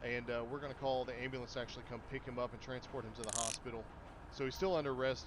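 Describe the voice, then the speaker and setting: Speaking at a very fast pace, a man keeps a medium pitch in a monotone, flat intonation. Audible room echo surrounds his voice. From Kentucky. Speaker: gaming livestreamer. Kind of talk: live gameplay commentary. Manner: casual, conversational.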